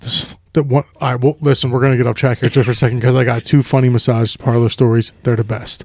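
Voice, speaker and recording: Somewhat breathy speech comes at a very fast pace with monotone, flat intonation and a dry, close sound with no echo. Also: man, medium pitch for a man, hardly any pauses. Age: 40s. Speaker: podcast co-host. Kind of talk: casual chat.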